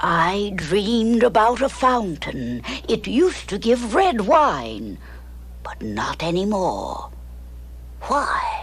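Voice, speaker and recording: A woman uses a cartoonish character voice at a very slow pace. Clear background noise can be heard. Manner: wheedling.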